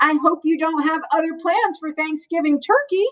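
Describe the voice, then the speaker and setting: Pitched extremely high, a woman's put-on character voice carries the clip. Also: moderate pace. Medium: read story. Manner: warm, gentle.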